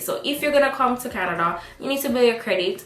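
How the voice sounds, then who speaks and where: Noticeable background noise and audible room echo accompany a woman with a high pitch. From Jamaica. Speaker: student vlogger. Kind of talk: vlog advice talk. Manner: animated.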